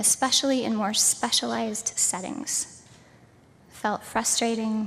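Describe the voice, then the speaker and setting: A woman with a fairly high, shaky voice speaks at a fairly slow pace. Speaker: keynote speaker. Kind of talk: keynote speech. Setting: stage with audience at a conference. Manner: shaky, trembling voice.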